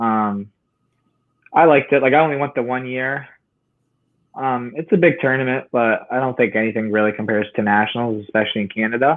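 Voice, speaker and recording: Ordinary pitch variation at a fairly quick pace, broken by long, frequent pauses. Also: man, medium pitch for a man. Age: young. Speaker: amateur boxer. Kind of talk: casual interview chat.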